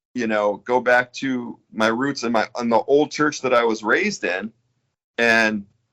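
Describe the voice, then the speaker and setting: Over a quiet background, a man with an American accent and an ordinary speaking voice talks at medium pitch and a fairly slow pace. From New York. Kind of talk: interview. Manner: casual, filler-heavy.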